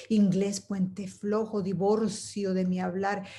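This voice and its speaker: A woman speaks very slowly in a somewhat breathy voice with a dark, mellow tone. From Venezuela. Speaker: poet and storyteller. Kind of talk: poetry reading.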